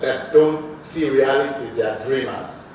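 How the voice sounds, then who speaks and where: Amid noticeable background noise and audible room echo, a man speaks in a fairly high voice with ordinary pitch variation. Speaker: business executive, conference speaker. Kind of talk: conference talk.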